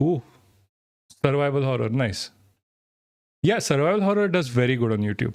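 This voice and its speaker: A man with an Indian accent at a fairly quick pace, with very wide pitch swings and long, frequent pauses. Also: medium pitch for a man. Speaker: streamer. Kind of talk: live stream chat. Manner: halting, many false starts.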